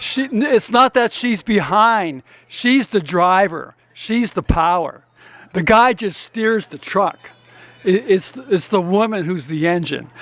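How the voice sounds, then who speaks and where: The voice moves at a very slow pace with lively intonation. Noticeable background noise runs underneath. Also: man, high pitch for a man. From Massachusetts, US Northeast. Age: 70s. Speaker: retired organic farmer. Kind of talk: memorial speech. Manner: halting, many fillers and restarts.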